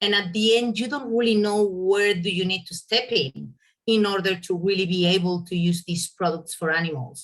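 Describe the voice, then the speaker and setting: A woman's medium-pitched voice with a Spanish accent. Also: ordinary pitch variation, moderate pace. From Spain. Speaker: veterinarian. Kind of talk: presentation. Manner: hesitant, with fillers.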